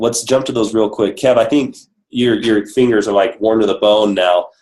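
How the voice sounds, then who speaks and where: In a normal speaking voice, a man talks fairly quickly at a medium pitch. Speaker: business coach leading a sales team call. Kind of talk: training webinar.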